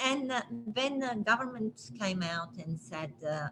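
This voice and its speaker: A woman with a non-native accent speaks at a moderate pace, her intonation lively. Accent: foreign. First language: not English. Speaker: property manager. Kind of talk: live stream interview. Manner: hesitant, many fillers.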